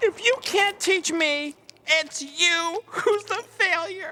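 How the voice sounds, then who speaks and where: A cartoonish character voice speaks at an extremely high pitch and a very slow pace. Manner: dopey, cheeky.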